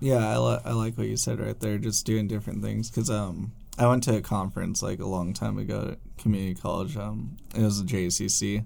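An ordinary speaking voice runs at a fairly quick pace with lively intonation and hardly any pauses. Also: man, fairly low pitch for a man. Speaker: student radio host. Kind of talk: casual interview.

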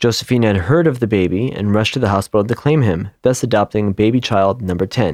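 A male voice at a moderate pace with ordinary pitch variation, dry and close with no echo, over a quiet background. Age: 40s. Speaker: podcast co-host. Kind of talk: history storytelling, partly read from notes.

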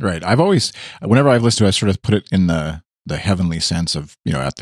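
Talking at a very fast pace with lively intonation, a man with a Canadian accent shows some vocal fry. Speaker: podcast host. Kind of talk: casual chat.

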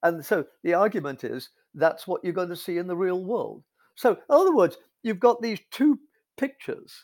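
The recording is very clean, with a silent background. A man speaks at a moderate pace in a high pitch with lively intonation. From England. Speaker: philosopher of science. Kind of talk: interview.

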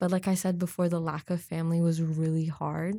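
In an American accent, a woman speaks at a fairly quick pace with monotone, flat intonation and a fairly low pitch. Her tone is dark and mellow, on a very clean recording with a silent background. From Oregon and Hong Kong. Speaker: university student. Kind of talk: casual interview. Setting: wearing a mask.

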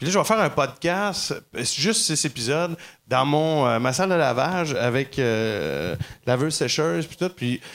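Here a man with an unremarkable speaking voice talks at a fairly slow pace with lively intonation, on a very clean recording with a silent background. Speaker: comedian. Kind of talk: casual chat. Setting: comedy club stage with audience.

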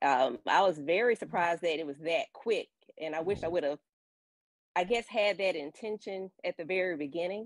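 With lively intonation, a woman speaks at a moderate pace and a fairly low pitch in an unremarkable speaking voice. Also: dry, close sound with no echo. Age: 30s. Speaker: caller. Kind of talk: call-in discussion. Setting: call-in on live stream.

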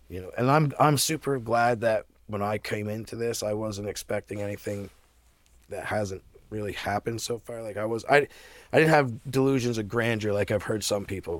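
Here is an ordinary speaking voice from a man at medium pitch, with ordinary pitch variation and a moderate pace. The recording is very clean, with a silent background. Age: 40s. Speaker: cannabis grower. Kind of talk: casual chat. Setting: podcast interview.

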